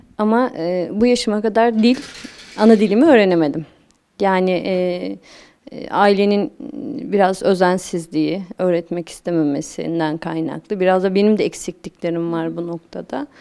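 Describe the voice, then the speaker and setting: Her dark, mellow tone sits at a medium pitch as this woman speaks at a moderate pace with ordinary pitch variation. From Turkey, Dersim (Tunceli). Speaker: sociologist, women's choir member. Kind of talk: interview. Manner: halting, many fillers.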